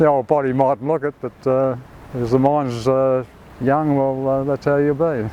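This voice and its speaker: Over noticeable background noise, a man with an Australian accent speaks at a medium pitch and moderate pace in a monotone, flat intonation. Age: 80s+. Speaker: surfer. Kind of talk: interview answer.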